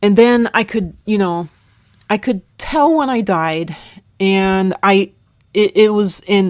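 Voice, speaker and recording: Speaking at a very slow pace, a woman uses a medium pitch with ordinary pitch variation. The sound is dry and close, with no echo. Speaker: content creator recounting near-death experience. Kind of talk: personal testimony. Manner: halting.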